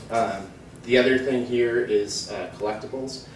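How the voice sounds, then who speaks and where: Light noise sits in the background as a man speaks amid audible room echo. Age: 30s. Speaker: market research analyst. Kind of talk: conference talk. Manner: many fillers and hesitations. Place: hall. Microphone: camera far.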